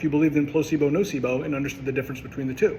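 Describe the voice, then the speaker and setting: Speaking at a very fast pace, a man is heard against noticeable background noise. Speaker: chiropractor. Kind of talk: educational monologue. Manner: passionate, with filler words.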